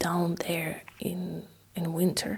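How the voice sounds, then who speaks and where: With a Russian accent, a woman talks at a very slow pace over noticeable background noise. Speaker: ASMR history narrator. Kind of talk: casual history storytelling. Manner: halting, many fillers; soft-spoken ASMR.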